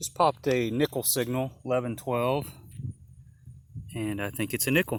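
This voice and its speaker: Soft-spoken and medium-pitched, a man talks at a moderate pace with ordinary pitch variation and long, frequent pauses. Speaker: metal detecting hobbyist. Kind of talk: casual vlog narration while detecting. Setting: outdoors. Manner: casual halting.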